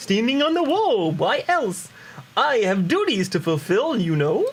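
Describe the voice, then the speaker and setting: This is a put-on character voice with a fairly high pitch and very wide pitch swings. The pace is moderate. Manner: defensive, justifying himself.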